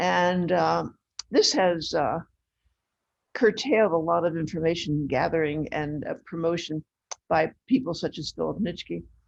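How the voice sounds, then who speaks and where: A fairly low female voice with vocal fry, at a fairly slow pace. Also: ordinary pitch variation. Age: 80s+. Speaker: right-to-die advocate presenter. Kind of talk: lecture.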